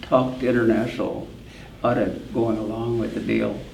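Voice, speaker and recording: A man speaks with an American accent over noticeable background noise. The room echo is audible. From US Upper Midwest, northwest Minnesota. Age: 80s+. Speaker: farm equipment company founder. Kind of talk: interview. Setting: farm show event.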